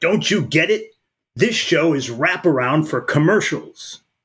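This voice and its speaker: A man uses a put-on character voice, gruff and high-pitched, with lively intonation at a fairly slow pace. The recording is very clean, with a silent background. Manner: gruff, blunt.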